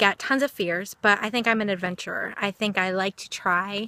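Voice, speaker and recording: Loud and bright with a sharp tone, a woman speaks at a medium pitch with ordinary pitch variation, recorded very cleanly against a silent background with a dry, close sound and no echo. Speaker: vlogger. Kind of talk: personal vlog monologue. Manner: excitable.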